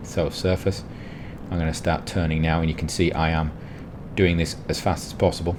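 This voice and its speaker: Very deep, low male speech with noticeable background noise. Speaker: gaming youtuber. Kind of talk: gameplay commentary. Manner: fast.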